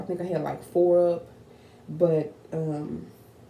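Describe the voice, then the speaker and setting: Monotone, flat intonation from a woman with a fairly low pitch and an American accent, at a moderate pace, with audible room echo. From Texas, Fort Worth. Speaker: YouTuber. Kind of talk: casual vlog talk to camera.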